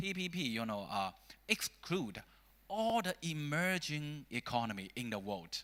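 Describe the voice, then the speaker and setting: A man with a Chinese accent has a fairly high pitch, a bright, sharp tone, and very wide pitch swings. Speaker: think tank scholar. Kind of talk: panel discussion. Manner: halting.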